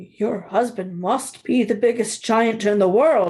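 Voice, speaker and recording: In a raspy, put-on character voice, a woman speaks fairly slowly at a fairly high pitch. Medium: read story. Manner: flustered.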